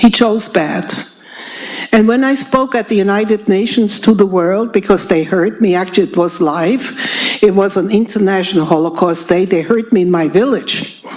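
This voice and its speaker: Speaking with a German accent over noticeable background noise, a woman talks at a moderate pace with a medium pitch and lively intonation. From Germany. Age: 80s+. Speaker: Holocaust survivor speaker. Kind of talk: public talk. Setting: stage with audience. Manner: loud.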